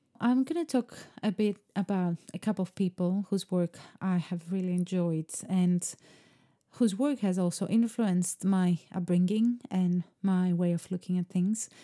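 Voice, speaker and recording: With a Greek accent, a woman speaks at a fairly slow pace in a dark, mellow tone, her intonation fairly even and her loudness very even, in a dry, close sound with no echo on a very clean recording with a silent background. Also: medium pitch for a woman. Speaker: podcast host, artist. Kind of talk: solo podcast monologue. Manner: reflective, calm.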